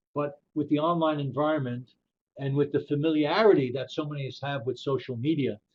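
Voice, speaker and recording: Talking at a fairly quick pace, a man with an American accent uses a plain, everyday voice. His pitch is fairly high and his intonation fairly even. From New York, the Bronx. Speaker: professor. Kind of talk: webinar presentation. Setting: webinar.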